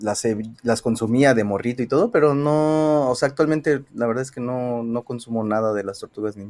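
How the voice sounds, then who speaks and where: Pitch variation is ordinary and the pace moderate. The background is silent in a very clean recording. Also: man, medium pitch for a man. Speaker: podcast co-host. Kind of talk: casual chat. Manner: hesitant.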